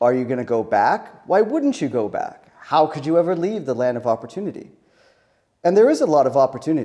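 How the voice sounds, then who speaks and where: A man with an American accent and a dark, mellow tone speaks very fast at a fairly high pitch, with lively intonation and long, frequent pauses. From California. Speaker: business director. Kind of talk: personal story to camera.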